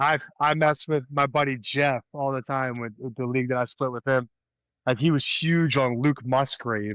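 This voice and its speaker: In an American accent, a plain, everyday voice speaks at a moderate pace with fairly even intonation, the sound dry and close with no echo. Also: man. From US, Delaware County, Pennsylvania. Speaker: podcast co-host. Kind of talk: casual chat.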